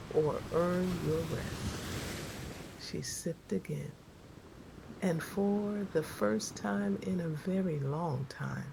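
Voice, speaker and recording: Her pitch is very deep and low, swinging very widely as the woman speaks at a very slow pace over noticeable background noise. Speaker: self-love coach. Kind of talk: sleep story. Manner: slow, calm.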